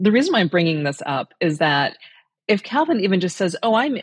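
Against a quiet background, a woman with an American accent has an ordinary speaking voice at medium pitch, talking at a moderate pace in a dry, close sound with no echo. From rural Indiana, US Midwest. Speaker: parent. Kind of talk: casual chat.

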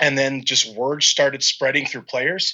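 This man's voice sits at a fairly high pitch. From Minnesota, military family moving around. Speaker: baseball fan running a charity effort for minor league players. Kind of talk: podcast interview. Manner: halting, many fillers.

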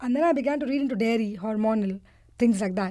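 A woman talks at a very fast pace in a fairly high pitch with a dark, mellow tone and ordinary pitch variation. The recording is very clean, with a silent background. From India. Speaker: parent. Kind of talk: interview.

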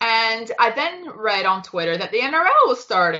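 A woman's fairly slow delivery with very wide pitch swings. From Toronto, Canada. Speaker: sports fan. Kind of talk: casual chat.

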